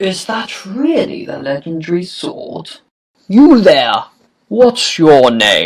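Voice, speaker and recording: A cartoonish character voice at a middle pitch moves at a very slow pace. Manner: commanding.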